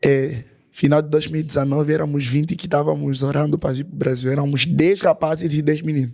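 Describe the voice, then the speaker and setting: Speaking at a fairly quick pace, a man uses a dark, mellow tone, a fairly high pitch and fairly even intonation. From Angola. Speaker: worship singer. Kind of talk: podcast interview.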